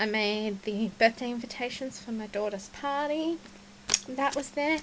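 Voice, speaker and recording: A woman with an Australian accent speaks at a fairly slow pace, her fairly high voice moving with ordinary pitch variation. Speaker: scrapbooking vlogger. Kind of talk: casual show-and-tell vlog.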